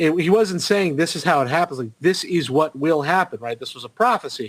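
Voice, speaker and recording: Speaking at a fairly quick pace, a man with a high voice shows big swings in loudness. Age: 30s. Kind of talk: casual chat. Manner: halting, many fillers.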